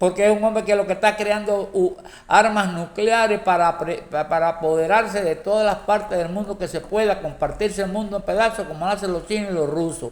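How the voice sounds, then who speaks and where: At a fairly quick pace with hardly any pauses, a man with a high pitch keeps his intonation fairly even. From Cuba. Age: 70s. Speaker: political commentator. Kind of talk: political monologue. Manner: halting, many repetitions; impassioned.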